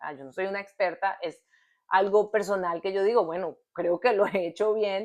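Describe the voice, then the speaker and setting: A woman with an ordinary speaking voice talks at a moderate pace and medium pitch, with ordinary pitch variation against a quiet background. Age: 30s. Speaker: podcast co-host. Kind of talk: casual chat.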